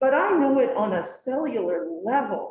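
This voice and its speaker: Audible room echo hangs around a woman whose intonation is lively. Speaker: educator on a task force. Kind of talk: committee meeting discussion.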